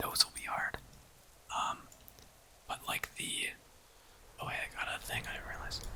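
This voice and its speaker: Someone whispers in a relaxed tone at a moderate pace over noticeable background noise. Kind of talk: ASMR whisper-style talk to camera while gaming. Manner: whispered, soft-spoken, relaxed.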